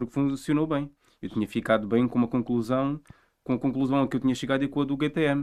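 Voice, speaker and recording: A man talks very fast with a medium pitch. His intonation is fairly even. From Portugal, Alentejo coast (Vila Nova de Milfontes). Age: 20s. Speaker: researcher on rural development. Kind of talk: podcast interview.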